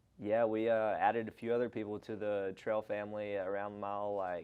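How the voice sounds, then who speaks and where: With a strong Southern US accent, a man talks at a fairly slow pace and fairly low pitch. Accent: thick Southern US. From Arkansas, US South. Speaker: long-distance hiker. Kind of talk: casual interview chat.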